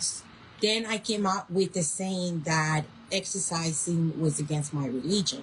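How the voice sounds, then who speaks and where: Somewhat breathy, a woman speaks at a fairly slow pace. Her pitch is fairly low, with ordinary variation. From Colombia and US (moved at 11). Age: 50s. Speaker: chronic illness patient vlogger. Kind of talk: personal testimony. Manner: halting, pausing to find words.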